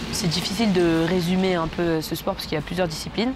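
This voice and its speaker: Over noticeable background noise, a woman speaks at a very fast pace and fairly low pitch, her intonation fairly even. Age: 20s. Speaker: track cyclist. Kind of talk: interview. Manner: hesitant, many fillers.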